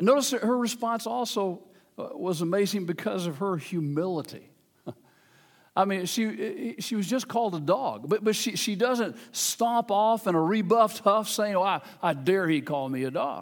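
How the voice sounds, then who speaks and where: With an American accent and lively intonation, a man talks at a moderate pace in a high pitch. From US South, Memphis, Tennessee. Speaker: pastor. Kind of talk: sermon. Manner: halting.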